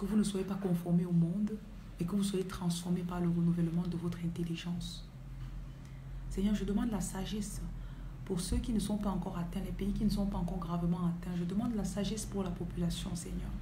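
Through noticeable background noise, a woman with a fairly low pitch talks at a fairly quick pace. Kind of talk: livestream sermon and prayer. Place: home room. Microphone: phone near.

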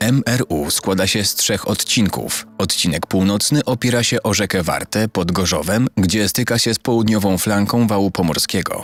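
Against noticeable background noise, a man with a fairly low pitch and ordinary pitch variation talks at a moderate pace with hardly any pauses. The sound is dry and close with no echo, and his loudness stays very even. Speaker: voice-over narrator. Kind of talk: documentary narration.

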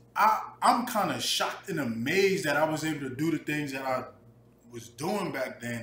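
In a room with audible echo and light background noise, a man with an American accent speaks with ordinary pitch variation. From New Jersey, US. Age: 20s. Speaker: vlogger. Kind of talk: personal vlog monologue. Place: kitchen. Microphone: webcam.

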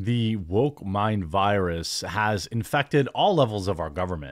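Over a quiet background, a man talks with a fairly low pitch. His pitch varies an ordinary amount. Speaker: online commentator. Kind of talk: commentary. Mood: sarcastic, mocking. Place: home room. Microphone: studio mic.

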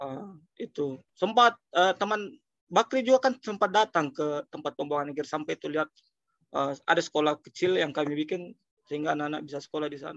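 Over a quiet background with a dry sound and no echo, a man talks at a fairly quick pace with lively intonation. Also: fairly high pitch for a man. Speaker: social foundation director; webinar speaker. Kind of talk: webinar talk. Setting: video call. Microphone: video call.

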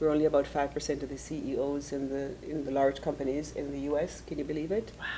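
A woman speaks at a fairly quick pace with hardly any pauses, her voice very deep and low with a dark, mellow tone. Her intonation is monotone and flat, over light background noise. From Jamaica. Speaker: image coach and author; image coach. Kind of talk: interview. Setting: studio.

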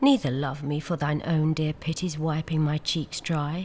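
Somewhat breathy, a woman talks at a very slow pace with a very deep, low pitch, on a very clean recording with a silent background. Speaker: actress. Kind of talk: poetry reading. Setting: outdoors. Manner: soft-spoken, slow.

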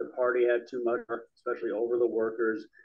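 A man's medium-pitched voice at a very fast pace, with faint music in the background. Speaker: audience member. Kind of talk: discussion. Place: meeting room. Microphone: handheld.

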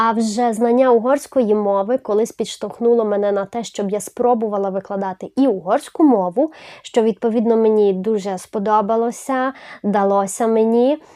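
A woman speaks with a Hungarian accent at a moderate pace. Her pitch is fairly high and her intonation fairly even. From Zakarpattia, western Ukraine. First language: Hungarian (speaking Ukrainian). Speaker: language teacher, YouTuber. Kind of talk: channel introduction video.

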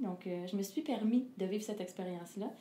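A woman speaks at a moderate pace with ordinary pitch variation. Light background noise and audible room echo surround her voice. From Quebec. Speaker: singer; interviewee. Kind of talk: interview. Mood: calm, reflective. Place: home room.

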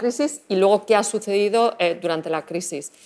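A woman's medium-pitched voice with ordinary pitch variation at a moderate pace, in a very clean recording with a silent background. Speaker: industry strategy manager presenting a study. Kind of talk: conference presentation. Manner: hesitant, many fillers.

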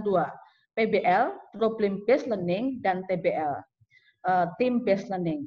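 An unremarkable speaking voice with ordinary pitch variation over a quiet background. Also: woman. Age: middle-aged. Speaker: sociology department head; webinar presenter, lecturer. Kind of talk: lecture. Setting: video call. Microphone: video call.

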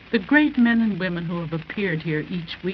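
Over light background noise, the speaker talks with an American accent and lively intonation. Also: woman. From US. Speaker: women's council president. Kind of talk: formal prepared speech. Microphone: old recording.

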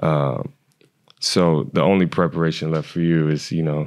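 The background is quiet as a man speaks. His pitch is very deep and low, with fairly even intonation. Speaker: podcast co-host, former track athlete. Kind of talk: casual interview. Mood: admiring, warm. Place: studio. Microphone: studio mic.

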